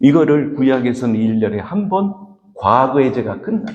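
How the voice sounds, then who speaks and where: Fairly high male voice with vocal fry at a fairly slow pace. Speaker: pastor. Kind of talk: sermon.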